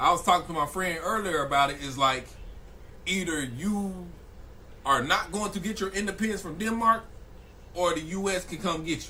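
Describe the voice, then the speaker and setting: The speaker sounds animated, moving at a fairly quick pace with lively intonation over noticeable background noise. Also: man. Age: 20s. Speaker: streamer reacting to news videos. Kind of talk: live stream reaction commentary.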